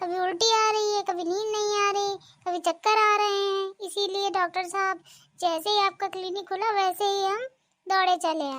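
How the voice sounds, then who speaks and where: A woman's cartoonish character voice, extremely high in pitch, at a moderate pace with fairly even intonation. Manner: chatty, sarcastic.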